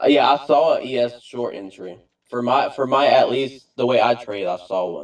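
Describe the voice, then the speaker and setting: With a Southern US accent, a man speaks at a moderate pace. His medium pitch shows ordinary variation. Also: big swings in loudness. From US South, South Carolina. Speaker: trader, community member. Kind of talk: casual chat.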